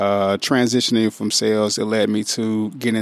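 Speaking at a fairly quick pace, a man with a St. Louis accent uses a medium pitch. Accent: Midwestern US, St. Louis. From St. Louis, Missouri (North St. Louis). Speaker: school district recruiter. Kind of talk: casual interview. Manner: smooth.

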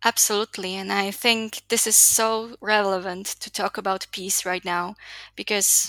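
A woman's medium-pitched, bright, sharp voice with a Slovak accent, fairly slow and monotone with flat intonation, in a dry, close sound with no echo. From Slovakia. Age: 20s. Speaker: youth development advocate. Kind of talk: interview.

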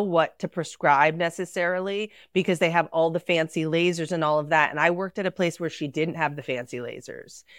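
In a dry, close sound with no echo, a woman with a normal speaking voice talks at a moderate pace in a fairly low pitch. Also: very clean recording, silent background. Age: 40s. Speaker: esthetician. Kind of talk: casual chat.

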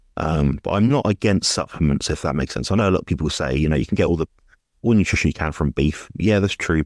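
On a very clean recording with a silent background, a man with a British accent talks at a very fast pace in a very deep, low voice with vocal fry. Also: dry, close sound with no echo. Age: 20s. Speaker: nutrition coach. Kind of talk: interview. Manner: hesitant, many fillers.

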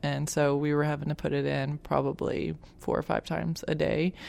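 Someone with an Arkansas accent speaks at a moderate pace on a very clean recording with a silent background. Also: woman. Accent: Southern US (Arkansas). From Arkansas, Little Rock. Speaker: patient's parent. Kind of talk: interview testimony. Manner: hesitant, many fillers.

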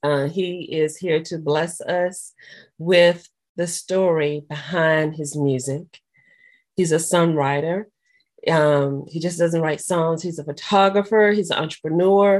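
A woman's warm, upbeat tone at a fairly slow pace against a quiet background. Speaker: podcast host. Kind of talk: interview, casual chat.

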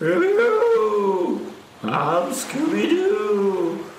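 Very slow and fairly high-pitched, this put-on character voice comes with a slight echo. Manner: goofy, cartoonish.

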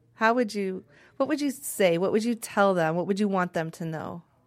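Music can be heard in the background. A woman is talking over it. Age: 50s. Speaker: nurse. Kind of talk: conversational interview.

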